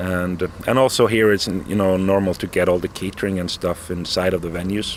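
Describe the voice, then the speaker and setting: At a moderate pace, a man with a fairly low pitch speaks over noticeable background noise. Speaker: metal band founder and musician. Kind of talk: interview.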